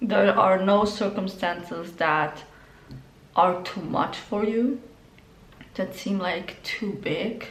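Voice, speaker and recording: At a very slow pace, a woman talks with a medium pitch amid audible room echo. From Spain (Galicia). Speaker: tarot reader. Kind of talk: tarot reading. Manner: casual, many filler words.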